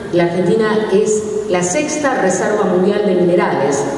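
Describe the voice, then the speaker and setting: A woman talks at a fairly slow pace with ordinary pitch variation. Strong room echo and light background noise are heard. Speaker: speaker. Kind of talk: public talk / lecture. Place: hall. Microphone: camera far.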